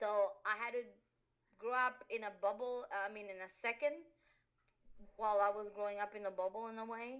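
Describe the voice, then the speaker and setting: A woman with a Spanish accent, fairly high-pitched, with fairly even intonation, a moderate pace and long, frequent pauses. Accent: Spanish accent, which she denies. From Honduras. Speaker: interviewee, immigrant. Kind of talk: interview. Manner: halting, many fillers.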